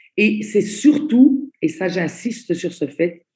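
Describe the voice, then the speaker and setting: A woman's fairly high, somewhat breathy voice with a dark, mellow tone, lively intonation and a very slow pace. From Italy. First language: Italian (speaking French). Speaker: network marketing trainer. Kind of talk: online training presentation. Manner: slow, deliberate.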